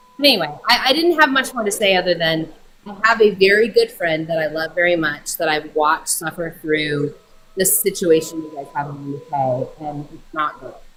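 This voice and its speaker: Against noticeable background noise, a woman with an American accent and a fairly low pitch speaks with lively intonation and big swings in loudness. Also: moderate pace. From Colorado, US. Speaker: caller. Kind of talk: casual debate.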